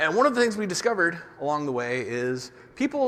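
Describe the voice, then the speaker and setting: Very wide pitch swings mark a man's speech amid noticeable background noise. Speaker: conference speaker on developer security. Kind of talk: conference talk. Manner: fast.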